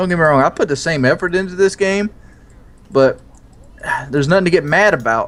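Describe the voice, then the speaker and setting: Fairly quick speech in an American accent, with ordinary pitch variation and long, frequent pauses. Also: man, high pitch for a man. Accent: southern US, mostly hidden. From US South. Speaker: gamer, video creator. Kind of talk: casual chat while gaming.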